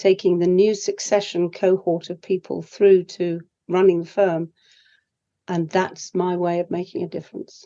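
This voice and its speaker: Speaking with a British accent, a woman has a medium pitch and a dark, mellow tone. Her intonation is monotone and flat. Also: moderate pace. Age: 70s. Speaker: leadership coach. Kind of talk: interview.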